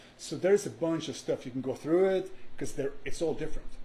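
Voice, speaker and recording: A man with a slight Swedish accent talks fairly quickly in a dark, mellow tone that is somewhat breathy, with ordinary pitch variation. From Sweden. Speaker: music producer and songwriter. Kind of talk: podcast interview. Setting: live-streamed podcast.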